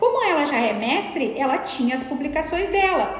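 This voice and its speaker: In a room with audible echo and noticeable background noise, a woman with a high pitch talks at a moderate pace in an animated tone with lively intonation. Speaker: law professor and academic mentor. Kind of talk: live stream lecture. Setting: live stream.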